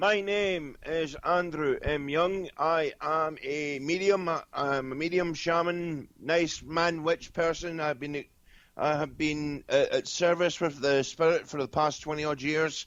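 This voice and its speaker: Speaking with a Scottish accent, a man talks at a fairly slow pace with hardly any pauses, using fairly high pitch and fairly even intonation. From Scotland. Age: 20s. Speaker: medium and shaman. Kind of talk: casual interview. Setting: internet radio call-in.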